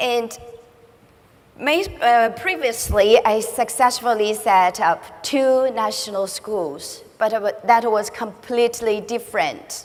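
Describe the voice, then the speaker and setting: A woman with a Chinese accent talks at a very slow pace and a fairly high pitch, with ordinary pitch variation. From China. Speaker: school director. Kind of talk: conference speech. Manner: halting.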